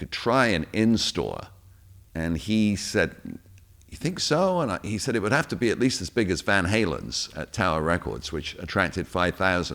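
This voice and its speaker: Speaking at a moderate pace, a man uses a very deep, low pitch roughened by vocal fry. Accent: British. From England. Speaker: radio DJ and producer. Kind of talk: interview answer.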